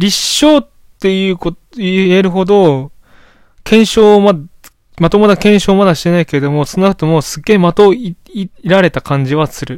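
A man's high voice shows ordinary pitch variation as he talks at a moderate speed. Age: 20s. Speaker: solo podcaster. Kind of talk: casual monologue. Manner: rambling, hesitant.

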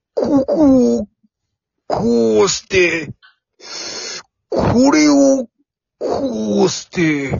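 A put-on character voice moves at a very slow pace with long, frequent pauses and big pitch swings. Its tone is slightly mellow, with a slightly husky edge and vocal fry.

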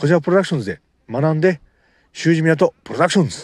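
At a very fast pace, a man with a fairly high pitch speaks in a dry, close sound with no echo. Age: 30s. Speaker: amateur podcaster and novelist. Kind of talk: casual monologue. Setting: outdoors at a beach. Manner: halting, many fillers.

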